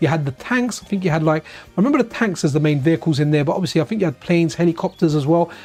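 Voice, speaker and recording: In an English accent, a man talks with a high-pitched voice. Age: 40s. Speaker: retro gaming streamer. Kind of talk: casual live stream chat. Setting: live stream. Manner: rambling, self-correcting.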